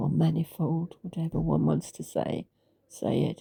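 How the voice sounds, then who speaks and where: The sound is dry and close, with no echo. Delivery comes at a very slow pace. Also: woman. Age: 80s+. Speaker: author. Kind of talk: personal testimony. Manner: halting, with many fillers.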